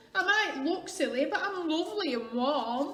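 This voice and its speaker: In a put-on character voice, a woman speaks at an extremely high pitch, hoarse and croaky, at a moderate pace with audible echo. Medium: read story.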